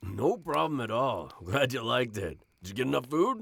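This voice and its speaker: Here a man puts on a character voice. His pitch sits in the medium range. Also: moderate pace. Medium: audio drama. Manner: easygoing, gruff.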